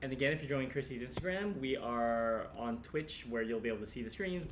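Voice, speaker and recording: A man at medium pitch, very fast, with lively intonation over noticeable background noise. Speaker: co-host of an art livestream. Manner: self-deprecating, playful.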